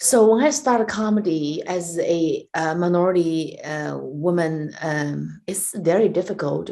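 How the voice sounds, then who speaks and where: A woman with a Chinese accent speaks in a dark, mellow tone. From China. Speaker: stand-up comedian and comedy club owner. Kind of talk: interview. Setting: video call.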